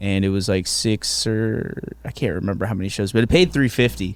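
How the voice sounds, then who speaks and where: It is a plain, everyday voice, a man's, fairly low in pitch. He has an American accent and keeps a moderate pace. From Virginia, Hampton Roads. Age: 30s. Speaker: stand-up comedian. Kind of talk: casual chat. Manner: casual, profane.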